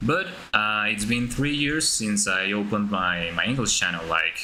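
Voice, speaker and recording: A man with a Spanish accent, fairly low in pitch, at a fairly slow pace amid audible room echo. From Colombia. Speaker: gaming YouTuber. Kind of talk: live stream tutorial. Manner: halting, many fillers.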